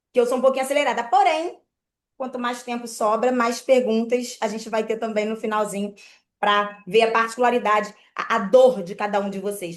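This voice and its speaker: Fairly even intonation and a moderate pace from an unremarkable speaking voice. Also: woman. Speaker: mortgage credit broker. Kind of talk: online presentation.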